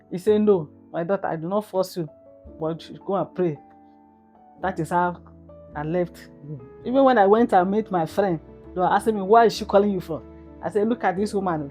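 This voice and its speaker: Speaking in a calm tone over music in the background, a woman with a fairly low pitch and ordinary pitch variation moves at a fairly quick pace, with long, frequent pauses and big swings in loudness. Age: old. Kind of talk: interview answer.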